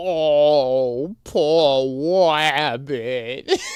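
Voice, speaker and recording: The speaker uses a put-on character voice with a whiny tone. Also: man, fairly high pitch for a man. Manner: whiny, pitiful.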